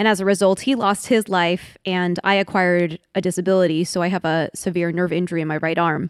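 A woman uses an ordinary speaking voice, fairly low in pitch with fairly even intonation. She talks at a fairly quick pace with hardly any pauses in a very clean recording with a silent background. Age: 30s. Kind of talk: reflective interview conversation.

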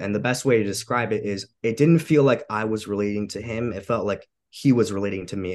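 An unremarkable speaking voice, a man at a fairly low pitch with an American accent, ordinary pitch variation and a fairly quick pace over a quiet background. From Long Island, New York (Suffolk County). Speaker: bodybuilder. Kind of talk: interview.

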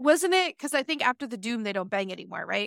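In a very clean recording with a silent background, a woman's bright, sharp voice carries lively intonation in a dry, close sound with no echo. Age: 30s. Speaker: book podcast co-host. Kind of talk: casual chat.

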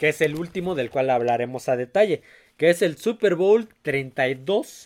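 A man with a plain, everyday voice speaks at a fairly slow pace. His pitch is fairly high and his intonation lively. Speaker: sports podcast host. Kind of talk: casual chat.

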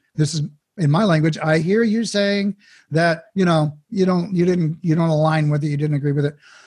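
In an unremarkable speaking voice, a man talks at a fairly quick pace and fairly high pitch with ordinary pitch variation. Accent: American. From Oklahoma. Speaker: mindfulness coach. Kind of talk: casual interview.

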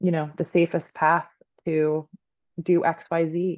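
This woman speaks at a fairly low pitch. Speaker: Reiki master and career coach. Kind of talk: casual interview chat.

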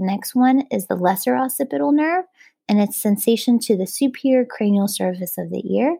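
Recorded very cleanly against a silent background, a woman talks at a moderate pace in a dark, mellow, somewhat breathy tone with very wide pitch swings, the sound dry and close with no echo. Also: medium pitch for a woman. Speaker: plastic surgery resident doctor. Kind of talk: educational exam review. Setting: podcast studio.

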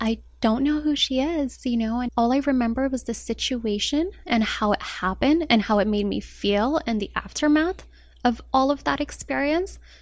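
Using an ordinary speaking voice, a woman talks at a fairly slow pace, her fairly high pitch showing ordinary variation. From Colorado, US (born in Morocco). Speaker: blogger and anti-bullying advocate. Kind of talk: interview, personal story.

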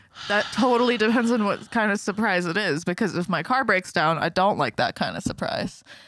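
Using a normal speaking voice, a woman talks at a fairly quick pace with hardly any pauses. Her medium-pitched voice has lively intonation and very even loudness. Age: 20s. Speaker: podcast co-host. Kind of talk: casual chat.

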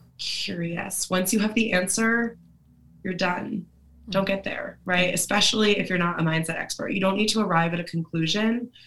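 Noticeable background noise accompanies a woman speaking at a medium pitch with fairly even intonation. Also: moderate pace. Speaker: mindset coach. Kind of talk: casual chat. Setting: video call.

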